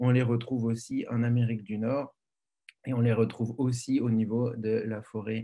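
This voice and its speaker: The voice has a dark, mellow tone and monotone, flat intonation. It moves at a moderate pace. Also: man. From France. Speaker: biology professor. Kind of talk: lecture. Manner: halting, many fillers.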